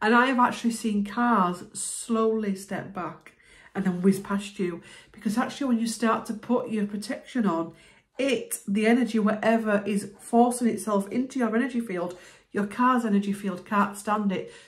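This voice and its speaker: Against a quiet background, a woman speaks at a moderate pace. Her voice is somewhat breathy, with fairly even intonation. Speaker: spiritual healer vlogger. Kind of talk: explanatory self-help talk to camera. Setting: video, talking to camera. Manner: conversational, relaxed. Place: home room. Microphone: phone near.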